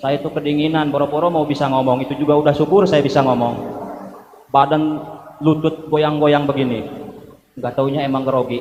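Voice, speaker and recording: Over noticeable background noise and audible room echo, a man talks at a fairly quick pace in a fairly high, monotone, flat voice. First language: Sundanese (speaking Indonesian). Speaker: preacher. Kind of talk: sermon.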